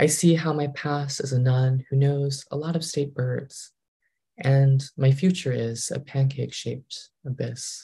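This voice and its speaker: A man with an American accent speaks in a flat monotone at a fairly high pitch, his tone dark and mellow. His voice is somewhat breathy, and the background is quiet. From Massachusetts, New England. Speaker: poet. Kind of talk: poetry reading. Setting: video call. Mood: calm, wry. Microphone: video call.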